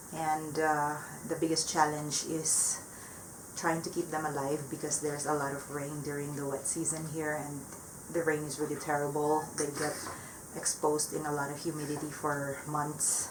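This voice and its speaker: A woman with a very deep, low voice speaks at a moderate pace in a flat monotone, with audible room echo and noticeable background noise. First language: not English. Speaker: plant hobbyist vlogger. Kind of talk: casual vlog update. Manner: hesitant, many fillers.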